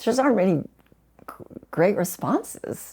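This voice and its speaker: A dark, mellow tone comes from a woman in a very clean recording with a silent background. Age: 60s. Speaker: terminally ill cancer patient. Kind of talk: podcast interview. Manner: halting.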